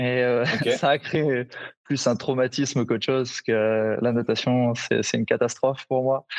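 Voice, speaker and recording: The sound is dry and close, with no echo. A man speaks at a moderate pace in a medium pitch and a flat monotone. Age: 30s. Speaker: CrossFit gym owner. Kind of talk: casual interview. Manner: halting.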